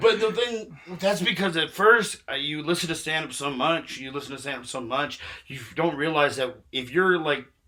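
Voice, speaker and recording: A man with a fairly high pitch talks while noticeable background noise carries on. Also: lively intonation, big swings in loudness. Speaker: stand-up comedian. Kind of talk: casual chat. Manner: fast.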